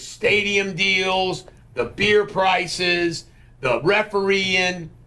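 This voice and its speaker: A man with an American accent speaks in a raised, projected voice, high in pitch. His pace is very slow. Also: ordinary pitch variation. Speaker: podcast host. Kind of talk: casual political chat. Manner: loud.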